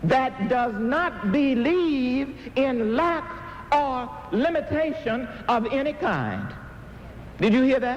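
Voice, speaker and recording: At a very slow pace and very even loudness, a man speaks at an extremely high pitch with ordinary pitch variation amid noticeable background noise. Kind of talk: inspirational sermon-style talk. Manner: emphatic, call-and-response preaching style.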